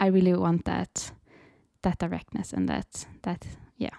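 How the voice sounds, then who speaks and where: This is a woman's voice. She speaks with a Swedish accent. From Sweden. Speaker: creative coach and podcast host. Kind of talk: casual solo talk, unscripted.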